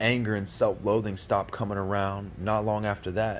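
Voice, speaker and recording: A man's fairly low voice with vocal fry. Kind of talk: spoken word poetry performance.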